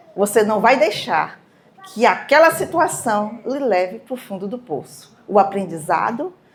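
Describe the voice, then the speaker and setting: A woman's fairly high voice at a fairly slow pace, with very wide pitch swings, over noticeable background noise. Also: big swings in loudness. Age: 60s. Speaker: speaker at a cultural event. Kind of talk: motivational talk to a live audience.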